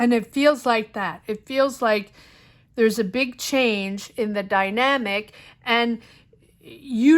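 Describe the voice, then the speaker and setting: The speaker is a woman with an unremarkable speaking voice. Her pitch sits fairly high. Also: very clean recording, silent background. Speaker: tarot reader. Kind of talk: tarot reading monologue. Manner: casual, with fillers.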